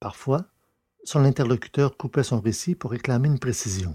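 A man's medium-pitched voice has a dark, mellow tone and a slightly husky edge, with ordinary pitch variation.

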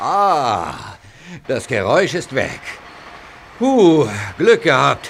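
A man uses a put-on character voice that is fairly high in pitch and fairly bright in tone, with very wide pitch swings at a slow pace.

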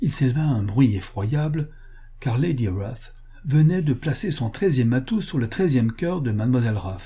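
Lively intonation in an unforced reading voice

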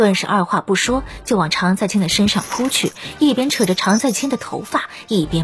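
What is heard here is plain reading aloud.

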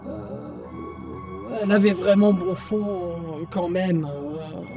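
A woman's put-on character voice, fairly low in pitch with very wide swings, at a slow pace over clear background music

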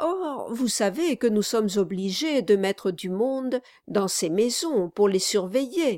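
Lively intonation in an unforced reading voice

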